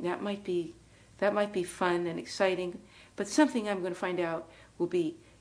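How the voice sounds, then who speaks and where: A woman with an American accent at a fairly quick pace, medium in pitch, with ordinary pitch variation. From US West (Los Angeles, California). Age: 60s. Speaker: Sufi spiritual teacher and author. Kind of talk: interview testimony. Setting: at home.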